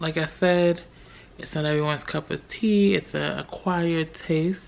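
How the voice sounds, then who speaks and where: A woman speaks in a very deep, low pitch with ordinary pitch variation. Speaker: vlogger. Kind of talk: casual vlog chat. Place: home room. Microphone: phone near.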